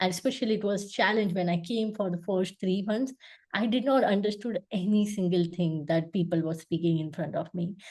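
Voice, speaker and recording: With a Gujarati accent, a woman talks at a fairly quick pace in a somewhat breathy voice with ordinary pitch variation. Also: medium pitch for a woman. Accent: Indian (Gujarati) English. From India, Gujarat. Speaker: UX designer. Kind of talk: interview. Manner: hesitant, many fillers.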